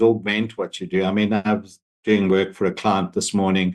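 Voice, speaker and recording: A man with an unremarkable speaking voice, fairly low in pitch, at a fairly quick pace over a quiet background. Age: 60s. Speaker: AI consultant, panel expert. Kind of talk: panel discussion.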